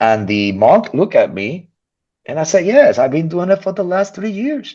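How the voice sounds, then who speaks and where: Against a quiet background, a man with a high pitch speaks at a moderate pace in an animated tone, his pitch swinging very widely. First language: not English. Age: 50s. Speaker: physician. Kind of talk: casual chat.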